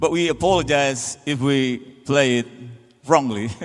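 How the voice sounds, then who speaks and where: This man speaks with an Indonesian accent. His pitch is fairly high, with ordinary variation. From Indonesia, Sundanese (West Java). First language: Indonesian/Sundanese. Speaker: band frontman. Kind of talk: stage banter between songs. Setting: stage with audience.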